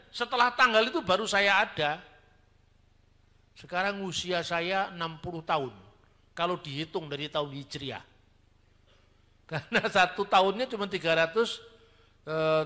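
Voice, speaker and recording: A high-pitched man speaks at a moderate pace with long, frequent pauses. His tone is bright and sharp, with ordinary pitch variation. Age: 50s. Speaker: theologian. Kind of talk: sermon-style teaching talk. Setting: church. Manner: conversational, colloquial.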